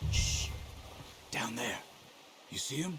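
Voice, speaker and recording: A man's put-on character voice, raspy, with clear background noise. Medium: video game. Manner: calm, low, instructive.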